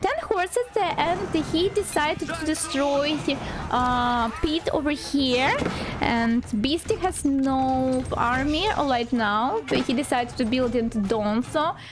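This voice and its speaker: A woman with a non-native accent and a high pitch speaks at a very slow pace with lively intonation and very even loudness over noticeable background noise. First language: not English. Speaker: game commentator (shoutcaster). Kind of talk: live game commentary on a strategy game match.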